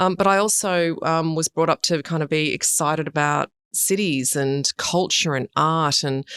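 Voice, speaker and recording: This woman has a very deep, low pitch and an Australian accent, with ordinary pitch variation. She keeps a moderate pace with hardly any pauses, and the sound is dry and close with no echo. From Sydney, Australia. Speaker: urban design director. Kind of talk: interview. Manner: loud.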